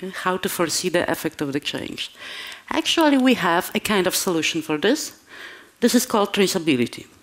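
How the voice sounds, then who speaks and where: A woman with a Polish accent speaks at a medium pitch. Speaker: conference speaker. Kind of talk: conference talk. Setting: stage with audience. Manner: halting.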